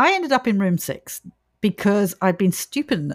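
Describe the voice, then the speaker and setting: An Australian-accented woman's voice swings very widely in pitch, captured with a dry, close sound with no echo on a very clean recording with a silent background. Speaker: paranormal podcast host. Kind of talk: casual chat.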